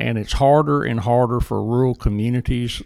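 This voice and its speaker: With a Southern US accent, a man speaks using ordinary pitch variation. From Jackson, Mississippi. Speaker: economic development director. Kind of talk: interview conversation.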